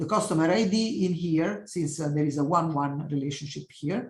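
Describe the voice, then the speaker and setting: A woman speaks with an Italian accent. Her voice is somewhat breathy. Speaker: professor. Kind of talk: lecture. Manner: halting.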